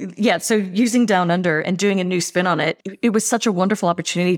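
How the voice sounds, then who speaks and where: In a very clean recording with a silent background, a woman with an American accent and a plain, everyday voice speaks at a fairly quick pace, her pitch fairly low and her intonation fairly even. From US. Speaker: marketing executive. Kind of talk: casual interview.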